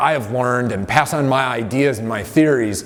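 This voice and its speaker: A man talks at a fairly slow pace with ordinary pitch variation amid noticeable background noise. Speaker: strength and conditioning coach. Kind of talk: motivational talk to camera. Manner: casual with many fillers.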